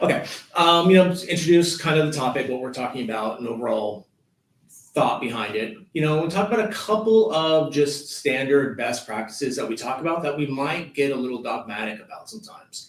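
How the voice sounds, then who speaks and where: Audible room echo surrounds a man speaking at a fairly quick pace. His voice is fairly high, with lively intonation. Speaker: proposal management professional. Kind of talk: webinar presentation. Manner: fast.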